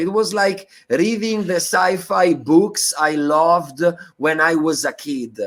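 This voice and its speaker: A man with an Italian accent, at a very slow pace. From Italy. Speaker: bitcoin activist and educator. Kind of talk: interview. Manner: halting with fillers and repetitions.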